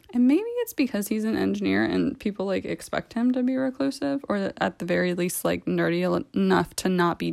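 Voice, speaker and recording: A woman with an American accent speaks at a fairly quick pace with hardly any pauses. The recording is very clean, with a silent background. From US, Maryland (near DC). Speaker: blogger reading her own writing. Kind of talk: reading aloud.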